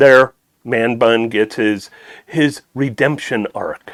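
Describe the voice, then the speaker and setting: A man mumbles with ordinary pitch variation. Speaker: speedrunner. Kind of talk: gameplay commentary. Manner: mumbling; soft-spoken.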